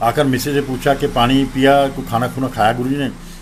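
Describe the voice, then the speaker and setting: A man talks at a medium pitch, with noticeable background noise behind him. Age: 60s. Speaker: devotee sharing memories of a spiritual guru. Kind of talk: testimony / satsang storytelling.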